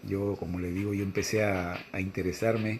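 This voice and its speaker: This is a man with an ordinary speaking voice. His pitch sits fairly low and his intonation stays fairly even. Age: 60s. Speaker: religious teacher. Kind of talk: religious reading and commentary.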